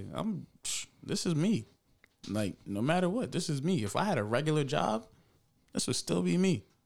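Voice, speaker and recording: Marked by vocal fry, a man speaks at a fairly high pitch and moderate pace, with very wide pitch swings and long, frequent pauses. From Jamaica. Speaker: entrepreneur and gun store owner. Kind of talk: casual interview chat.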